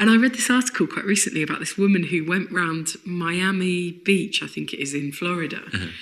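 A woman with a southeast English accent, fairly low-pitched with ordinary pitch variation, at a fairly quick pace with hardly any pauses. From southeast London, England. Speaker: comedian. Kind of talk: casual chat.

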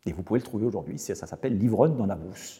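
A man talks at a fairly quick pace with a fairly low pitch. His dark, mellow tone is somewhat breathy. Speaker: professor. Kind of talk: interview. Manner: halting.

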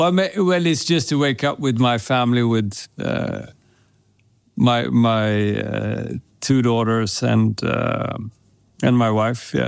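A man with a Swedish accent at a very slow pace. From Sweden. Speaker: perfume brand co-founder. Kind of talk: casual interview.

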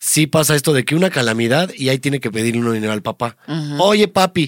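Recorded very cleanly with a silent background and a dry, close sound with no echo, a man talks at a fairly quick pace in a fairly high pitch, his tone animated and his intonation lively. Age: 30s. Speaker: podcast host, comedian. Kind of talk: casual chat.

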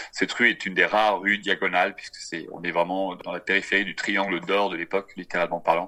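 His tone bright and sharp, a man speaks at a fairly low pitch and a fairly quick pace. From France, Brittany. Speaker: tour guide. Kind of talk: interview. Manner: halting.

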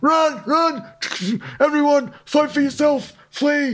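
Putting on a character voice, a man speaks very slowly at an extremely high pitch. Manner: goofy, comic.

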